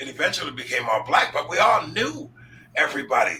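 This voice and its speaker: Against noticeable background noise, a man talks at a fairly quick pace with an American accent. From upstate New York. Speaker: talk show host. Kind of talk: interview. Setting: live stream.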